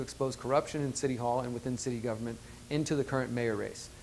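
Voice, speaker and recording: A man speaks at a very fast pace with a medium pitch and fairly even intonation. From Houston, Texas. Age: 30s. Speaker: mayoral candidate. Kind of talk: campaign pitch.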